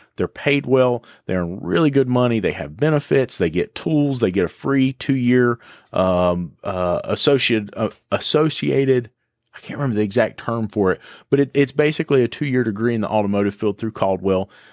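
Lively intonation marks this voice in an Appalachian accent, with a dry, close sound with no echo on a very clean recording with a silent background. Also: man, medium pitch for a man, fairly quick pace. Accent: Appalachian Southern US. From western North Carolina (Boone area). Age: 30s. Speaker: auto repair shop owner. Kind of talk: interview conversation.

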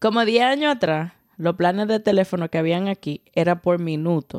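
A plain, everyday voice speaks at a moderate pace with lively intonation. The sound is dry and close, with no echo. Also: woman. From Dominican Republic. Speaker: podcast co-host. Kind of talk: casual chat; sponsor recommendation.

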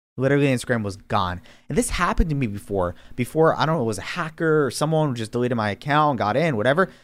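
In a very clean recording with a silent background, a man with an American accent and medium pitch talks at a very fast pace with lively intonation and hardly any pauses. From New York City, Queens. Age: 20s. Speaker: young entrepreneur, online store owner. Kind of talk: podcast interview.

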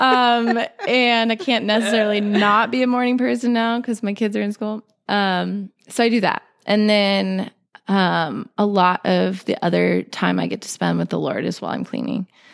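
This is an ordinary speaking voice, a woman's at a medium pitch. She keeps a moderate pace and fairly even intonation in a very clean recording with a silent background. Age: 30s. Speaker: homemaker and freelance artist. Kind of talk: casual chat.

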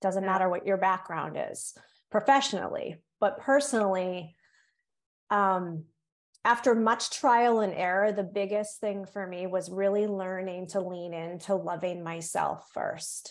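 Fairly slow female speech with an American accent, ordinary pitch variation, and a quiet background. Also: medium pitch for a woman. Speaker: guest, yoga teacher and nurse. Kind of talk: interview, casual chat.

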